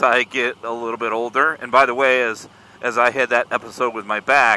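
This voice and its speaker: Using a plain, everyday voice with an American accent, a man of medium pitch speaks at a fairly quick pace in a dry, close sound with no echo. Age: 50s. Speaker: motorcycle vlogger. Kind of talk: casual vlog monologue. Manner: casual, rambling with fillers.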